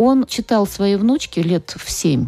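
A woman speaks at a moderate pace with lively intonation. Hers is an unremarkable speaking voice. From Russia, Nizhny Novgorod. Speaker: literature professor. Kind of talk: radio interview. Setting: studio.

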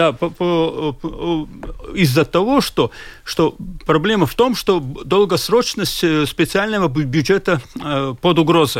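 A man speaks with a Latvian accent at a very slow pace. His voice is high, with lively intonation. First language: Latvian (speaking Russian). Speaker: social policy expert. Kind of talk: radio discussion. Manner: halting.

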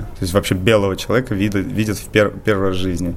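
Very fast speech from a man with a fairly low pitch, over noticeable background noise. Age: 20s. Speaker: rooftopper and photographer. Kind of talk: radio interview.

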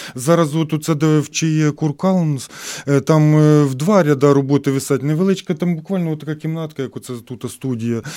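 Fairly high in pitch yet dark and mellow in tone, a man's voice moves at a moderate pace. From Ukraine, Khmelnytskyi oblast. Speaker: artist. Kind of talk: radio interview. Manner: emotional, animated.

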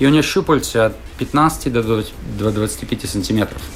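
Through noticeable background noise, a man's speech shows ordinary pitch variation. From Latvia, Riga. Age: 40s. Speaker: former Olympic swimmer, swim coach. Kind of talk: casual interview.

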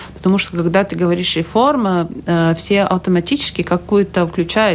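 Over noticeable background noise, a woman speaks at a fairly low pitch with ordinary pitch variation. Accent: Latvian. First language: Latvian (speaking Russian). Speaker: health minister. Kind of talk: radio interview. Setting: radio studio. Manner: halting.

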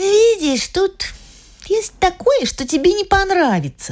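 This woman speaks at a moderate pace. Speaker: audiobook narrator. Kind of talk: literary audiobook reading. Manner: lively, light narration, playful child's voice for the girl's lines.

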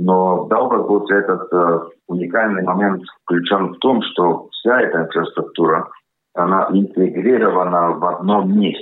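In a Latvian accent, a man speaks fairly slowly with a very deep, low pitch, very even loudness, and fairly even intonation. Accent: Latvian-accented Russian. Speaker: consultant company board member. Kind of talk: radio interview statements.

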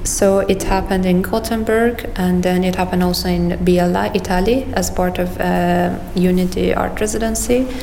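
Speaking at a fairly slow pace with a Persian accent, a woman keeps her loudness very even over noticeable background noise and audible room echo. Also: hardly any pauses. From Iran, Tehran. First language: Persian (speaking Russian). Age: 20s. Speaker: artist. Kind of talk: interview.

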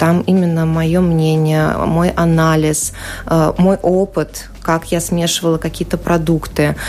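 Noticeable background noise sits behind a woman with a fairly low voice. She speaks at a very slow pace with very even loudness and flat, monotone intonation. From Ukraine, Ukrainian-Russian family. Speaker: journalist and amateur cook. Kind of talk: radio interview. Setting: radio studio.

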